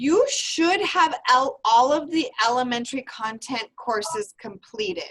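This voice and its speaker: Loud and high-pitched, a woman talks at a fairly slow pace with hardly any pauses and very wide pitch swings. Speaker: university program advisor. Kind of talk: online information seminar.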